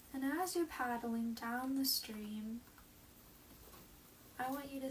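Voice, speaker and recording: The calm tone carries ordinary pitch variation at a very slow pace. Noticeable background noise is present. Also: woman. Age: 20s. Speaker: meditation guide. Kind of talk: guided meditation. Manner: slow, calm.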